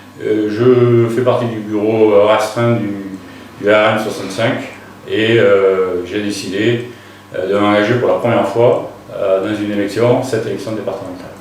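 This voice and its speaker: Amid noticeable background noise and audible room echo, a man talks fairly slowly in a fairly low pitch with monotone, flat intonation and long, frequent pauses. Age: 60s. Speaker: local election candidate, retired soldier. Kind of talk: interview. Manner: hesitant, many filler sounds.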